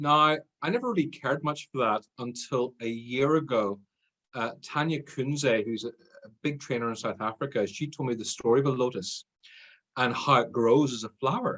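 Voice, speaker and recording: A man with a medium pitch and a bright, sharp tone speaks at a moderate pace in an Irish accent, his pitch varying in an ordinary way. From Ireland. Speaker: sales trainer. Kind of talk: interview podcast.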